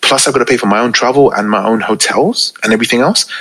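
Talking very fast, a man with a London accent keeps to a medium pitch. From UK, Pakistani family. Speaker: DJ and radio presenter. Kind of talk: casual interview chat. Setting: remote recording call. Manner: calm, less hyped than on radio.

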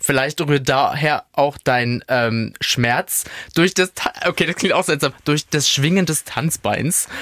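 Recorded dry and close with no echo, a man speaks at a very slow pace and a fairly high pitch, with ordinary pitch variation and very even loudness. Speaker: podcast co-host. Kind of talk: casual chat.

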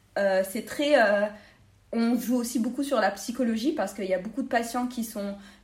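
This woman has a normal speaking voice, fairly high in pitch, with fairly even intonation and a moderate pace. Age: 20s. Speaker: dental student. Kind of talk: interview.

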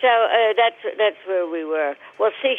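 A woman with an American accent talks at a medium pitch. She speaks at a very slow pace with ordinary pitch variation. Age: 80s+. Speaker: grandmother. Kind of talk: casual chat. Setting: phone call.

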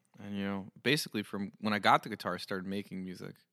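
A man's bright, sharp, fairly low voice with an American accent, on a very clean recording with a silent background. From New Jersey. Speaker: singer-songwriter. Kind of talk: casual interview chat. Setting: studio. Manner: thoughtful.

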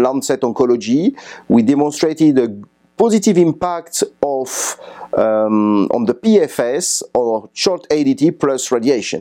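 A man in a French accent, fairly high-pitched, with lively intonation and a fairly slow pace. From France. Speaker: radiation oncologist. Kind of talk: conference interview summary. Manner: halting, many fillers.

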